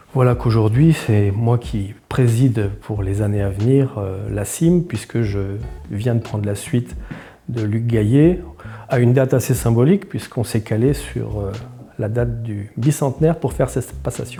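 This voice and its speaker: At a fairly slow pace, a man of medium pitch talks with lively intonation. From Alsace (Mulhouse), France. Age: 60s. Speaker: business executive. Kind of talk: interview. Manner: hesitant, frequent fillers.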